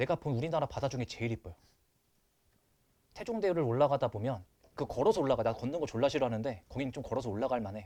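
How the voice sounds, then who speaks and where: Very fast speech in a Busan accent, dark and mellow in tone, broken by long, frequent pauses over a quiet background. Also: man, medium pitch for a man, lively intonation. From Busan, Korea. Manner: casual, chatty.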